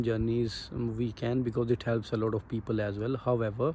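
At a moderate pace, a man speaks in a dark, mellow, somewhat breathy tone with monotone, flat intonation, recorded dry with no echo over light background noise. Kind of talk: casual vlog chat. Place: street. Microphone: phone near.

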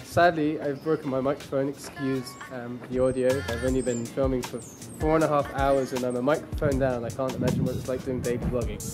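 Music plays clearly behind a man who talks at a fairly quick pace with hardly any pauses. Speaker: travel vlogger. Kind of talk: casual vlog chat. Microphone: phone near.

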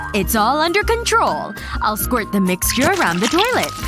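A fairly slow pace in a dry sound with no echo, with music in the background. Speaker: narrator voicing characters. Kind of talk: tutorial narration and acted sketch dialogue.

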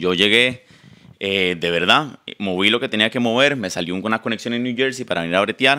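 A man's fairly low voice moves at a moderate pace with ordinary pitch variation against a quiet background. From Costa Rica. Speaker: content creator. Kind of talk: casual chat. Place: home room. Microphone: handheld.

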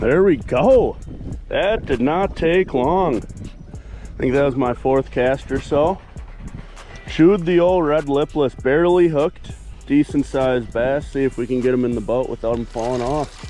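Faint music plays behind a man in a dry recording with no echo. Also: ordinary pitch variation, fairly slow pace. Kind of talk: casual vlog chat. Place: boat. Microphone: phone near.

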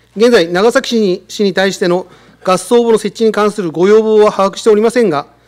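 Pitched high, a man talks at a fairly quick pace with fairly even intonation. The background is quiet. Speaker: city department head. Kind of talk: formal official answer. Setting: council chamber. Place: hall. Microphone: podium.

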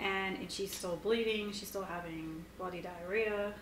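A woman speaks with fairly even intonation. Light background noise and audible room echo are present. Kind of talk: casual vlog update. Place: home room. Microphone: camera far.

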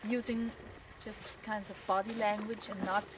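Over noticeable background noise, a woman talks at a fairly high pitch. Her intonation is monotone and flat. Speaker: horse trainer. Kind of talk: instructional talk to camera.

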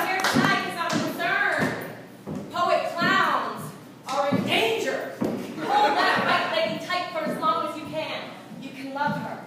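A woman at an extremely high pitch, with lively intonation and a fairly slow pace, amid audible room echo and loud background noise. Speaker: spoken word performer. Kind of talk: live slam poetry performance. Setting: live venue. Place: stage. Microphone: camera far.

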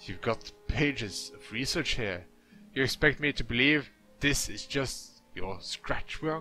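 With music in the background, a man growls in a put-on character voice at medium pitch and a fairly slow pace, his intonation lively and his loudness swinging widely. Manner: snarling, menacing.

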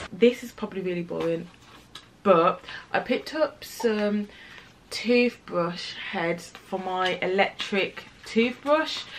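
A woman with a British accent at a very slow pace, medium in pitch, relaxed in tone, with lively intonation, big swings in loudness and light background noise. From UK. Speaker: lifestyle vlogger. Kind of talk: casual vlog talk to camera. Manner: relaxed, chatty. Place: home room.

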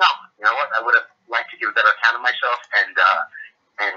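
Here a man talks at a very fast pace. He has an American accent. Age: 30s. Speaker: professional boxer. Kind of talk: interview.

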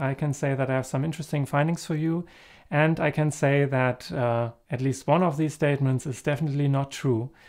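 Over a quiet background, a man talks at a fairly quick pace. His intonation stays fairly even. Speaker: camera gear reviewer. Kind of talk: review talk to camera. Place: home room. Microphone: camera far.

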